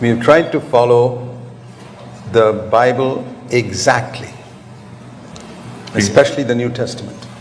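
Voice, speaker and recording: A man speaks slowly-ish at medium pitch with fairly even intonation and long, frequent pauses. Audible room echo and noticeable background noise surround him. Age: 70s. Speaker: preacher. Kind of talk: sermon.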